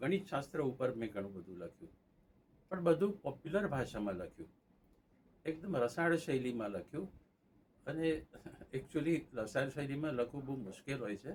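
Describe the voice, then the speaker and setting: This man's somewhat breathy voice swings very widely in pitch. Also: fairly high pitch for a man. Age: 80s+. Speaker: magazine editor. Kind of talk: interview.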